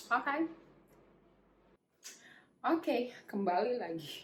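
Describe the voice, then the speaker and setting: A woman is speaking. Her pace is moderate. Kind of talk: beauty product review to camera. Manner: casual, chatty.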